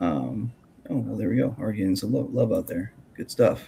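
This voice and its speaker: A man mumbles at a fairly quick pace. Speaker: podcast host and grappling commentator. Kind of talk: casual interview chat. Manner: mumbling; halting, many fillers.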